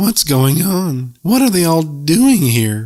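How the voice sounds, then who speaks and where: Delivered at a fairly slow pace, the put-on character voice makes very wide pitch swings. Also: man, fairly high pitch for a man. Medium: read story. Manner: mournful, hooting, breathless.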